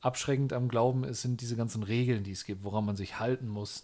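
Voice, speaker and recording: A man speaks at a moderate pace in a medium pitch with a dark, mellow tone and ordinary pitch variation, on a very clean recording with a silent background. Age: 30s. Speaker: podcast co-host, youth leader. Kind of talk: casual chat.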